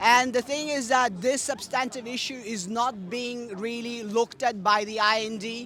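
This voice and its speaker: Shouting in a raised, projected voice at an extremely high pitch, a man keeps a fairly even intonation and moderate pace over noticeable background noise. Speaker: activist speaker. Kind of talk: protest speech.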